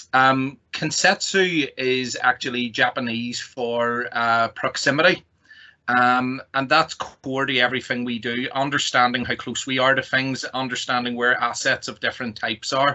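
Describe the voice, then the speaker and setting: With a Northern Irish accent, a man talks at a moderate pace and medium pitch, his intonation fairly even. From Northern Ireland. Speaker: technology company executive. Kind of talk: presentation.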